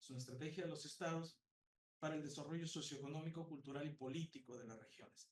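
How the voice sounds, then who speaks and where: A man speaks with a fairly high pitch. His voice is somewhat breathy. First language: Spanish. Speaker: psychology professor. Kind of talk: conference talk. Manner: halting.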